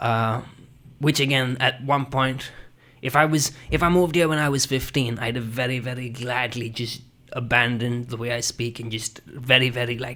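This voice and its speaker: On a very clean recording with a silent background, a man speaks at a moderate pace in a bright, sharp tone with fairly even intonation. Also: medium pitch for a man. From India. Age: 30s. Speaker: interviewee sharing heritage story. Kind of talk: interview. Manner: halting, many repetitions and fillers.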